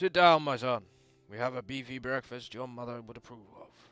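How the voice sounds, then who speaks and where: A raspy, put-on character voice at a moderate pace, with ordinary pitch variation and faint music in the background. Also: man, medium pitch for a man. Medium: game stream. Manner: jovial, hearty.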